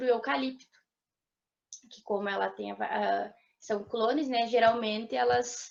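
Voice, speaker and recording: A woman speaks at a fairly slow pace. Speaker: forestry student presenter. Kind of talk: student seminar presentation.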